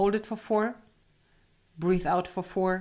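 Fairly slow speech from a woman, pitched in the medium range. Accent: German. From southern Germany. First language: German. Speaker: parenting podcast co-host, mother. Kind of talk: casual chat.

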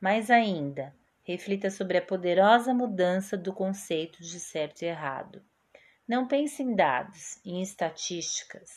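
A woman with an unremarkable speaking voice and medium pitch talks at a fairly slow pace with lively intonation. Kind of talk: poetry reading aloud. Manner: calm, slow, soothing and reflective.

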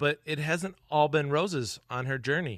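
A man talks with an American accent and ordinary pitch variation. The background is quiet. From US Midwest, South Dakota (Webster). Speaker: podcast host. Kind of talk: interview; scripted intro. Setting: guest's kitchen.

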